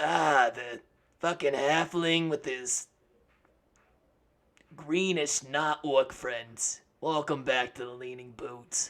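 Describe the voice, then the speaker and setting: A man's put-on character voice, raspy and fairly high-pitched, at a very slow pace with long, frequent pauses, fairly even intonation and big swings in loudness. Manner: gruff, welcoming.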